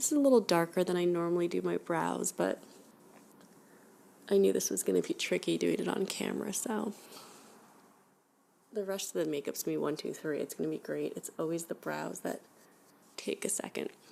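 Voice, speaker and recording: A soft-spoken woman talks at a fairly quick pace but leaves long, frequent pauses. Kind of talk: ASMR makeup application chit chat. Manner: soft-spoken, casual.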